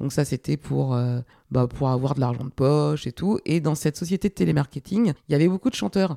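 With vocal fry and very even loudness, a woman speaks fairly quickly in a very deep, low, dark and mellow voice on a very clean recording with a silent background. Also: lively intonation, dry, close sound with no echo. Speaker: music producer and podcast host. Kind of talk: casual interview about own career.

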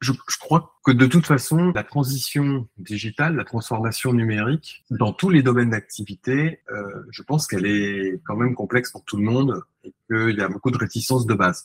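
With lively intonation, the voice carries a somewhat breathy quality. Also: man, dry, close sound with no echo. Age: 40s. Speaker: startup founder. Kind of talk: interview. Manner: animated.

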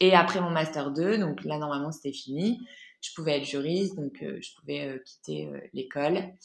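A woman speaks at a moderate pace with a very deep, low pitch. Her pitch varies in an ordinary way while her loudness swings widely. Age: 20s. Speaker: entrepreneur and founder of a women's platform. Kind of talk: casual interview testimony. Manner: hesitant, many fillers.

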